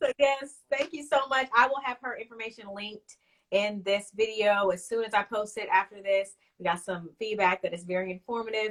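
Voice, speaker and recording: A woman talks at a medium pitch and a moderate pace in a normal speaking voice. Her pitch varies in an ordinary way. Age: 30s. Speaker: wellness show host. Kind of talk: casual interview chat.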